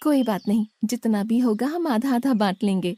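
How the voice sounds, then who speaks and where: In a cartoonish character voice, a woman speaks with a gentle tone at a fairly high pitch and moderate pace, recorded dry and close with no echo. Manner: soft, gentle.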